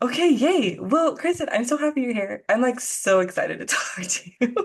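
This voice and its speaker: Her voice high and full of very wide pitch swings, a woman speaks at a moderate pace. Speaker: podcast host. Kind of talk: casual chat. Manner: animated.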